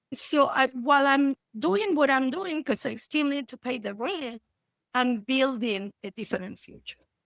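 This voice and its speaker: A woman with an Argentine accent speaks at a high pitch and fairly slow pace, with lively intonation. Her loudness swings widely, and the sound is dry and close with no echo. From Argentina. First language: Spanish. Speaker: therapist. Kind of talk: interview.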